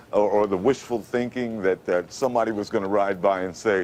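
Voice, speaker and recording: There's a New York accent in this man's speech. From Brooklyn, New York. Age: 50s. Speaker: radio announcer. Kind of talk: TV interview answer.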